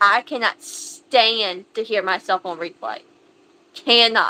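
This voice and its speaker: Bright and sharp in tone, a woman speaks at a fairly high pitch with an American accent. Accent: thick country. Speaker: livestream host. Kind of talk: casual livestream chat. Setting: livestream.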